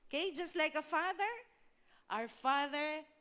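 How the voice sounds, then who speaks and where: A woman's bright, sharp voice at a fairly slow pace, with very wide pitch swings. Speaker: pastor. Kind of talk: sermon.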